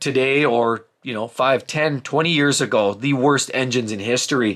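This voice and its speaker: The voice is loud, with a bright, sharp tone. Its pitch varies in an ordinary way. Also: man. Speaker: car YouTuber giving buying advice. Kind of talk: casual monologue reading viewer comments. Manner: fast.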